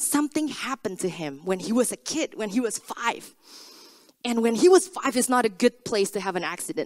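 A woman with a non-native accent speaks at a fairly high pitch. Her pitch swings very widely. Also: dry, close sound with no echo. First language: not English. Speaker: preacher. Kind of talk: sermon. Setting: church.

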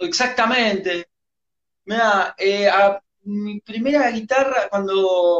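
Speaking at a very slow pace, a man uses a high voice with ordinary pitch variation. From Argentina. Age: 30s. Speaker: rock musician. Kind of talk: interview.

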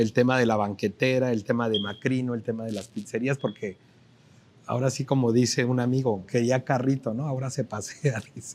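A man's voice at medium pitch and moderate pace, with monotone, flat intonation. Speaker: TV business show host. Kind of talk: TV interview show. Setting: on location in a restaurant plaza.

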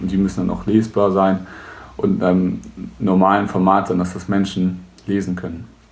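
A man speaks in a very deep, low voice with monotone, flat intonation and audible room echo. His pace is moderate, with long, frequent pauses. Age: 20s. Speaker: web services entrepreneur. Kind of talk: tutorial.

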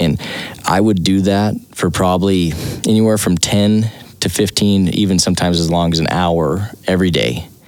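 Noticeable background noise sits behind a man with a very deep, low pitch. He talks at a moderate pace with very even loudness and fairly even intonation. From Wyoming. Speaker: podcast host and former bareback rider. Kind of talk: casual interview.

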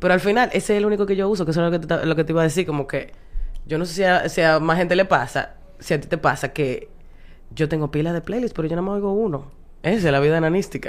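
Speaking very fast in an animated tone, a woman with a Dominican accent and a fairly low pitch uses ordinary pitch variation. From Dominican Republic, Santo Domingo. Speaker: stand-up comedian and advertising worker. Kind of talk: casual chat.

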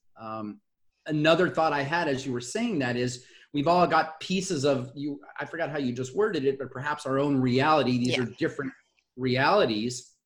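A man talks at a moderate pace in a fairly high voice. He speaks with a Southern Californian accent. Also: ordinary pitch variation. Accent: Southern California American. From US West Coast, Los Angeles area. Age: 50s. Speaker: communication facilitator and speaker. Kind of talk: casual interview chat. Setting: video call.

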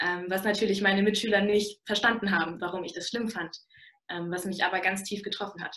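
A woman's bright, sharp voice at medium pitch, fairly quick in pace, with monotone, flat intonation. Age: young. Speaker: university student. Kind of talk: interview talk.

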